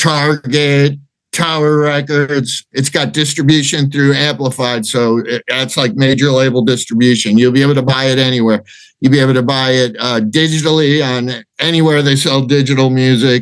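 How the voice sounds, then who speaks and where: A man in a plain, everyday voice with an American accent, medium pitch, fairly even intonation and a moderate pace. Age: 60s. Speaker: rock singer. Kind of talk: interview.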